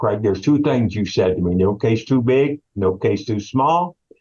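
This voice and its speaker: This man has a dark, mellow tone and a fairly low pitch. He talks at a moderate pace with lively intonation. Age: 70s. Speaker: investigator retiring from a law firm. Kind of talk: casual interview.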